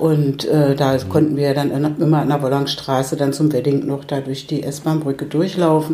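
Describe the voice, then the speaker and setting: A woman at a moderate pace with hardly any pauses and monotone, flat intonation, over noticeable background noise. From Berlin (Pankow), East Germany. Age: 70s. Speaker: retired social worker, widow of an artist. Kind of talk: casual interview. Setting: at her home. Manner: halting.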